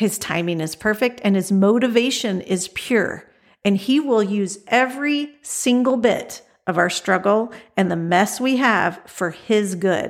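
An unremarkable speaking voice from a woman, medium pitch with ordinary pitch variation, at a fairly slow pace, on a very clean recording with a silent background. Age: 50s. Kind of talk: devotional monologue.

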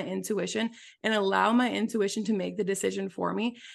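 Fairly quick speech in an American accent against a quiet background. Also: woman. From US Midwest (small-town Wisconsin). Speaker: business mentor and podcaster. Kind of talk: casual interview chat.

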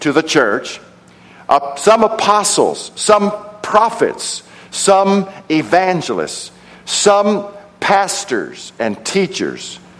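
Very slowly, a man speaks in a high voice with an American accent. Background noise is noticeable. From Texas, Odessa. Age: 60s. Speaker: preacher and theology professor. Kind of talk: sermon. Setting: church service with congregation.

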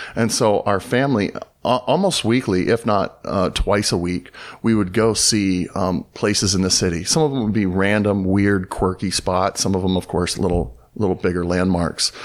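A man with an American accent talks in an unremarkable speaking voice at a fairly low pitch, ordinary pitch variation and a moderate pace. Loudness stays very even on a very clean recording with a silent background. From Southern California. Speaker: pastor, church planter. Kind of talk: casual interview conversation.

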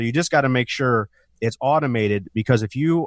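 A man's normal speaking voice at a medium pitch and fairly quick pace, dry and close with no echo over a quiet background. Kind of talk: infomercial-style sales pitch urging listeners to call for a free retirement review. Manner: urgent, pushy call-to-action, pitchy and promotional.

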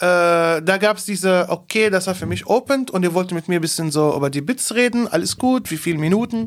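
At a fairly quick pace with hardly any pauses, the voice comes through in a very clean recording with a silent background. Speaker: comedian, podcast co-host. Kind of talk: casual chat. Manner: low energy.

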